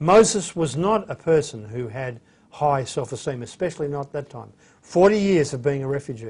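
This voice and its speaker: Somewhat breathy and fairly high-pitched, a man speaks with an Australian accent and lively intonation. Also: moderate pace, big swings in loudness. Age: 60s. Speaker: bible teacher. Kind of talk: lecture. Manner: hesitant, many fillers.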